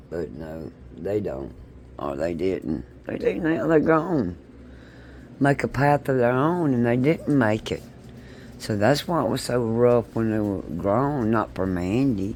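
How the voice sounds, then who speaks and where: A man's fairly low voice with a Southern US accent and very wide pitch swings. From south Mississippi. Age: 60s. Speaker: vlogger. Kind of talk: casual monologue vlog. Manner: animated.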